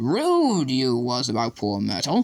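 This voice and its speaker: A put-on character voice at a fairly slow pace, dry and close with no echo. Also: man. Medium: read story. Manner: sly, gleeful.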